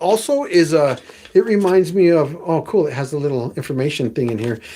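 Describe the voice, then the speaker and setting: A man at a fairly quick pace, his pitch swinging very widely. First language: Spanish. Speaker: wet shaving YouTuber. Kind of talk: live stream product review. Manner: casual, halting.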